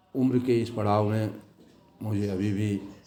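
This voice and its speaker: The speaker is a man. His tone is dark and mellow. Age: 60s. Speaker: vlogger. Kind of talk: motivational vlog talk. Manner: formal.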